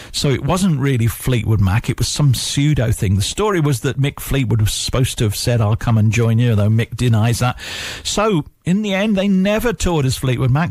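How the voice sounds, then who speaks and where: Somewhat breathy male voice of medium pitch, full of lively intonation. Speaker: radio DJ. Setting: radio studio. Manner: warm, easygoing, nostalgic, conversational.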